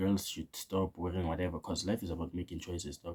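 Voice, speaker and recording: Very deep and low in pitch, a man's dark, mellow, somewhat breathy voice races along at a very fast pace. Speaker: opinion vlogger. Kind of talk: casual opinion monologue. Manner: casual, slangy; stuttering at times.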